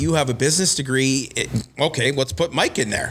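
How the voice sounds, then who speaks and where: A man at a medium pitch with a Canadian Prairies accent, ordinary pitch variation and a moderate pace, music in the background. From Winnipeg, Manitoba, Canada. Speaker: golf club director and golf pro. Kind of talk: casual chat.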